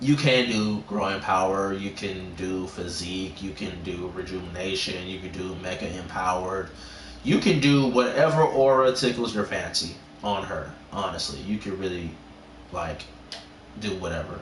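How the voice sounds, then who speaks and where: A man's very deep, low voice at a moderate pace, with ordinary pitch variation, audible room echo and noticeable background noise. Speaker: gaming streamer. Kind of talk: live game stream tutorial. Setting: livestream. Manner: halting, repetitive fillers; animated.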